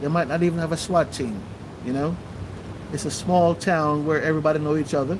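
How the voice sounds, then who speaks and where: There is noticeable background noise behind this man. He speaks at a moderate pace in a fairly high pitch, with ordinary pitch variation. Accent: Jamaican. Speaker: livestream host. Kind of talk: livestream commentary.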